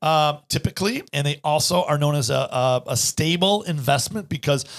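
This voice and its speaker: A somewhat breathy man with a fairly high pitch, an animated tone and lively intonation. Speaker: financial advisor and podcast host. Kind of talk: casual chat. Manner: fast.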